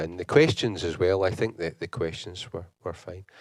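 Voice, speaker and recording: This man's voice is very deep and low in pitch, with a Scottish accent. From Scotland, Glasgow. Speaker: university lecturer, conference speaker. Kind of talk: conference talk. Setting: conference hall with audience. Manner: fast; halting, many repetitions.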